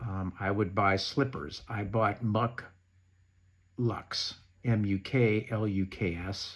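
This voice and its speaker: This recording is very clean, with a silent background. A man talks at a fairly low pitch. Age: 60s. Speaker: knee replacement patient sharing advice. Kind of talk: informal tutorial reading from notes. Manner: reading prepared notes.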